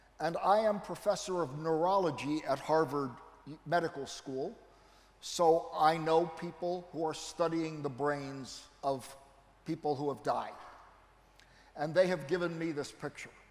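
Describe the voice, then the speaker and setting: A man with an American accent speaks at a fairly high pitch for a man and a fairly slow pace, his intonation fairly even, with long, frequent pauses and audible room echo. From United States. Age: 70s. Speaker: neurology professor. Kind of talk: lecture.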